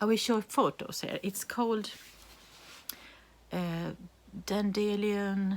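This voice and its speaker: Delivery is very slow and monotone, with flat intonation. Long, frequent pauses break it up. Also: woman, medium pitch for a woman. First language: Swedish. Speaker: knitting podcaster. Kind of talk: casual show-and-tell vlog. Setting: home. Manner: halting, many fillers and restarts.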